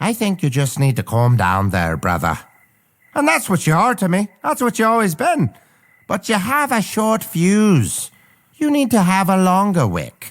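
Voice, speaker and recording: Someone uses a put-on character voice at a moderate pace and a middle pitch. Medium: audio drama. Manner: brash, profane, folksy.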